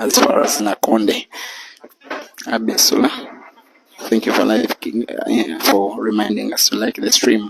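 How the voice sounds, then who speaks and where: Soft-spoken, the man talks at a fairly slow pace. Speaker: pool commentator. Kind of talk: live commentary. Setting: bar venue at live pool match.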